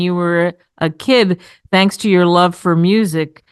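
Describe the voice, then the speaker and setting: A woman's normal speaking voice, at medium pitch with ordinary pitch variation. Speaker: radio talk show host. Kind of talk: radio interview host. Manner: upbeat.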